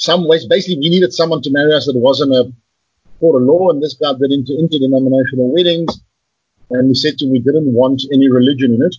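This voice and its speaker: With fairly even intonation and a somewhat breathy quality, a man speaks at a very fast pace in a fairly high pitch. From South Africa, Johannesburg. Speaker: guest sharing his life story. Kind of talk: casual interview. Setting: video call. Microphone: poor Skype sound quality.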